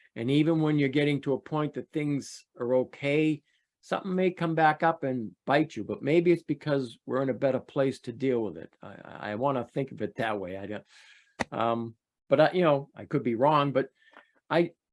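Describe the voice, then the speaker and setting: A man speaks at a fairly high pitch and a moderate pace, with ordinary pitch variation and big swings in loudness. It is an unremarkable speaking voice, with dry, close sound and no echo. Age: 60s. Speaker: sex abuse survivor telling his story. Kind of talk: interview testimony. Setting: video call.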